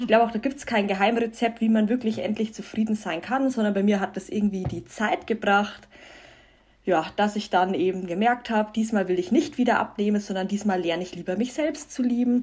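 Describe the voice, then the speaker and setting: At a fairly quick pace, a woman speaks somewhat breathily with fairly high pitch and ordinary pitch variation. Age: 20s. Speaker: self-love and vegan influencer. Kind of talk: casual interview.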